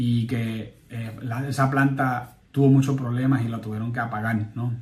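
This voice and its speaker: Somewhat breathy speech at a fairly slow pace, with fairly even intonation. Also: man. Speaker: political commentary podcaster. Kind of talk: political commentary monologue. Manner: halting, frequent repetitions.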